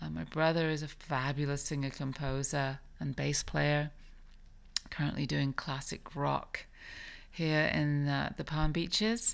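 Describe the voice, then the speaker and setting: Speaking with an American accent, a woman uses a very deep, low pitch, fairly even intonation and a fairly slow pace. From England. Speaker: podcast host and professional singer. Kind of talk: casual solo monologue. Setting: home recording at night with headphones.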